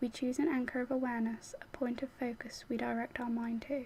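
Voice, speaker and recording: A soft-spoken voice comes through against noticeable background noise. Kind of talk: guided mindfulness instruction reading.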